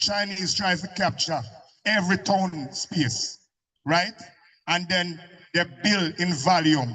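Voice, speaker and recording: At a very slow pace, a man speaks with long, frequent pauses. His voice is high, bright and sharp, with ordinary pitch variation. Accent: Jamaican. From Jamaica. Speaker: community speaker at public meeting. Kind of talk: impassioned public speech. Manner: animated.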